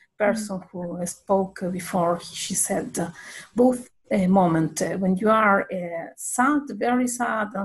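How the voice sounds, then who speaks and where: The pace of this woman's speech is very slow. Some breathiness colors her voice. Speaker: meeting participant. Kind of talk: group discussion. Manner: halting.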